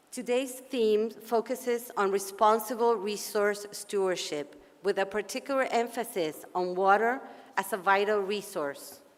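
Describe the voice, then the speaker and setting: A woman speaks with an Argentine accent. Her pace is fairly slow. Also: medium pitch for a woman, ordinary pitch variation. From Argentina. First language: Spanish. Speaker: policy advocate and session moderator. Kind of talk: conference opening speech. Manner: formal.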